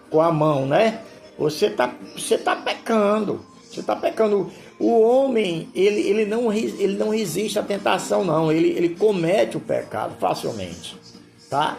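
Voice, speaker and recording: Music plays in the background as a man talks in a high voice. His intonation is lively, and his pace is fairly slow. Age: 70s. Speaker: pastor. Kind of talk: sermon. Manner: informal, repetitive.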